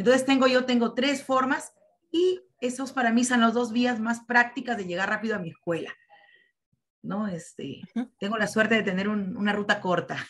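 This is a woman with a normal speaking voice. Her pitch is fairly high. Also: ordinary pitch variation, moderate pace. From Peru. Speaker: teacher participant. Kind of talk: presentation. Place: home room. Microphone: video call.

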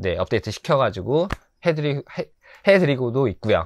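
Against a quiet background, a man talks at a fairly quick pace with a dry sound and no echo. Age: 40s. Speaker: pet shop owner and tarantula keeper. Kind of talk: self-introduction video monologue. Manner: casual, with many fillers. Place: shop. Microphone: lapel.

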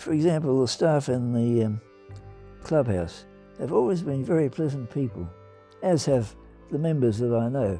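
Over background music, a man with an Australian accent speaks at medium pitch and a moderate pace, with lively intonation and long, frequent pauses. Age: 80s+. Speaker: retiring amateur golfer. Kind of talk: documentary interview answer. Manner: calm, reflective.

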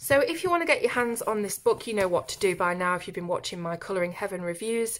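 Speaking with a British accent, a woman talks at a fairly quick pace. Her medium pitch shows ordinary variation. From UK. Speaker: YouTube colouring book reviewer. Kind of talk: product review.

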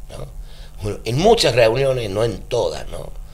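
Fairly slow-paced speech from a man. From Argentina. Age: 50s. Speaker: trade union leader; guest. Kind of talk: radio interview. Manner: halting. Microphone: handheld.

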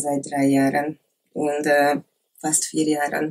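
A woman with a Hungarian accent speaks very slowly in a very deep, low voice. Her intonation is monotone and flat, with light background noise. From Hungary, Lake Balaton area; Hungary. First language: Hungarian (speaking German). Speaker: former adult film actress; interview guest. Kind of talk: interview; interview answer. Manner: halting, many hesitations. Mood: calm, personal, reflective. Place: office.

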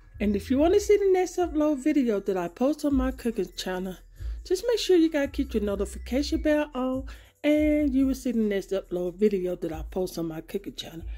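This woman has a high voice with a dark, mellow tone. She talks at a fairly quick pace. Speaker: home cooking channel host. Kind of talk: casual vlog chat. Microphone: phone near.

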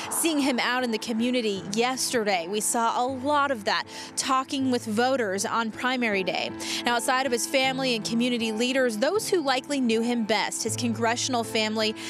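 Clear music plays in the background as a woman talks at a fairly quick pace. Her pitch variation is ordinary, her loudness very even, and the sound dry with no echo. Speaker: TV news reporter. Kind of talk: live news report. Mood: somber, measured. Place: street. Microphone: handheld.

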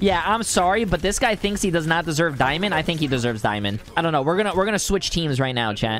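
A man talks very fast with hardly any pauses, his high voice making very wide pitch swings over light background noise in a dry sound with no echo. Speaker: gaming YouTuber and streamer. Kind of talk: casual gaming commentary. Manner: animated, joking. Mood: playful, laughing. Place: home room. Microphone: studio mic.

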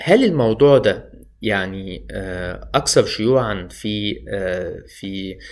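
A man speaks against a quiet background. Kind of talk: educational talk. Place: home room. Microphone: phone near.

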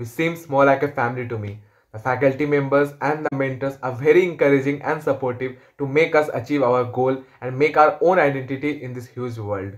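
A man talks at a fairly quick pace while the background stays quiet. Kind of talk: testimonial. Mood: positive, grateful. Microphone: phone near.

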